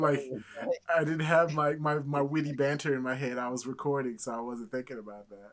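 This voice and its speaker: Here is a man with an ordinary speaking voice. His pitch is fairly high, with ordinary variation. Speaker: podcast co-host. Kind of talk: casual chat.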